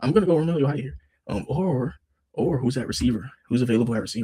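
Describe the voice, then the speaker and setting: Very fast, somewhat breathy speech. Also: man. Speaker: sports YouTuber. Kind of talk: casual solo commentary. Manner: animated.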